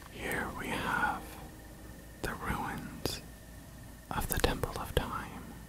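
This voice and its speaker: The speaker whispers at a very slow pace with long, frequent pauses. Noticeable background noise sits behind the voice. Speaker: ASMR video game streamer. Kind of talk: whispered let's play walkthrough. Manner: whispered, soft-spoken, relaxing.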